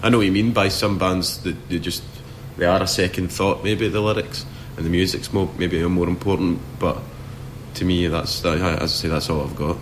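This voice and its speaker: A man's very deep, low voice at a moderate pace with fairly even intonation, amid noticeable background noise. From Scotland, near Glasgow. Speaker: rock band singer. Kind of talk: interview. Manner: halting, many repetitions and restarts.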